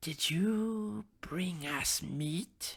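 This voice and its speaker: The speaker uses a put-on character voice. The pitch is middle. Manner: insidious.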